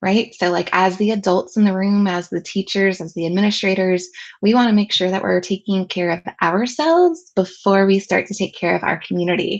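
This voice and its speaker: A woman with a Southern California accent speaks at a medium pitch with fairly even intonation. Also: fairly quick pace. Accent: picked up in Southern California. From US South, with some childhood years in Southern California. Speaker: educational technology consultant and trainer. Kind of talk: webinar presentation.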